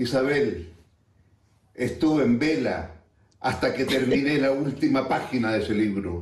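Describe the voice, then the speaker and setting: A man's somewhat breathy voice at a fairly slow pace, with audible room echo. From Chile. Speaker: friend sending a recorded message. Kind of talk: recorded tribute.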